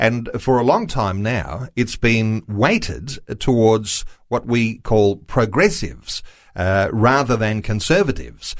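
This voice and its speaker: Speaking at a fairly slow pace with an Australian accent, a man talks at medium pitch with ordinary pitch variation in a very clean recording with a silent background. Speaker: radio host. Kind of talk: radio talk show interview. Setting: studio.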